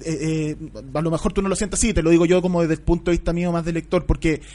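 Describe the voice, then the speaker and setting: This man speaks at a high pitch. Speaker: radio host. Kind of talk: interview. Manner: halting.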